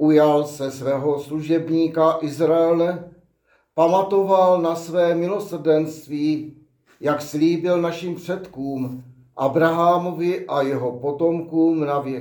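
Speaking very slowly, a man has a dark, mellow tone, a fairly high pitch and fairly even intonation. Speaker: deacon or priest. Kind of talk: reading aloud.

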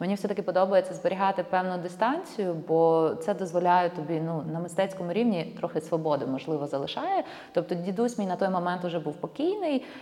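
Over noticeable background noise, a woman talks at a fairly quick pace and fairly low pitch, with ordinary pitch variation. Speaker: documentary filmmaker. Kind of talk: casual interview.

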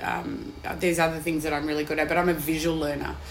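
With an Australian accent, a woman speaks at a very deep, low pitch in a monotone, flat intonation. Audible room echo and noticeable background noise fill the recording. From Western Australia (Perth). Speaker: executive chef. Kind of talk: casual interview.

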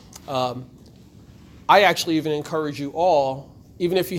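With an American accent, a man talks at a moderate pace, his voice fairly high in pitch and his pitch variation ordinary. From Trenton, New Jersey. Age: 40s. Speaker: radio host and media speaker. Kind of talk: presentation to students. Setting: room with student audience. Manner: moves around while speaking.

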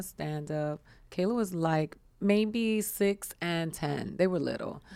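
This woman has a plain, everyday voice at a medium pitch, with ordinary pitch variation. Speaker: comedian. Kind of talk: casual chat. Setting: studio.

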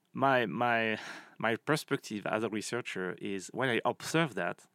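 A man speaks with a French accent at a medium pitch. The recording is very clean, with a silent background. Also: dry, close sound with no echo. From France. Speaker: marketing professor. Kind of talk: interview. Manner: halting.

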